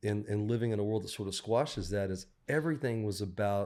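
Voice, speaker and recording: A man with a Southern US accent speaks at a fairly low pitch and with fairly even intonation in a very clean recording with a silent background. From US South, Mississippi coast. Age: 60s. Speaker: songwriter. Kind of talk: casual chat.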